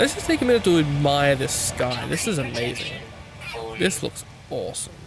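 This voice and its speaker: A man's fairly high voice with lively intonation, music in the background. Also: moderate pace. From Australia. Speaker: gaming YouTuber. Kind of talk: gameplay commentary. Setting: home recording at night. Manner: quiet; casual, hesitant.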